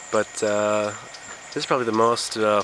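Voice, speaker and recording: Over noticeable background noise, a man speaks in a fairly low voice. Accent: American. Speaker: student vlogger. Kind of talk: casual vlog. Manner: fast.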